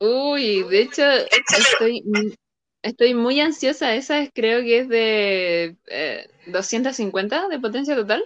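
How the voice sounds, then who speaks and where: Speaking very slowly, a woman with a Chilean accent uses a high pitch and lively intonation. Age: 20s. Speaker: video game player. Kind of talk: interview.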